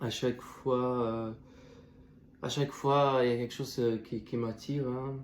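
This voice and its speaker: A man speaks at a medium pitch and a fairly slow pace, his intonation flat and monotone, with long pauses coming often. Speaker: student youtuber. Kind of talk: video essay commentary. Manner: halting, many fillers and restarts.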